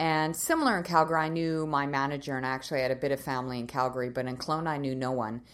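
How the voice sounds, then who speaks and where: At a very fast pace with hardly any pauses, a woman with a Canadian accent speaks in a very deep, low pitch and fairly even intonation. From Canadian Maritimes (Nova Scotia). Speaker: leadership consultant and business owner. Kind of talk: casual interview.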